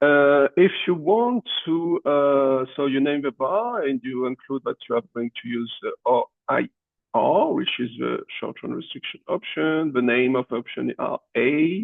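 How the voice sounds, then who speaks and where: Lively in intonation, a man with a fairly high pitch speaks at a fairly slow pace. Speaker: economics professor. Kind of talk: tutorial. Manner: halting, many fillers.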